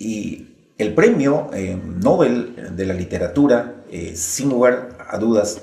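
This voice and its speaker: A man at a medium pitch speaks at a very slow pace. His intonation is lively, and his loudness swings widely. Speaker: interviewer. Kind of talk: documentary narration.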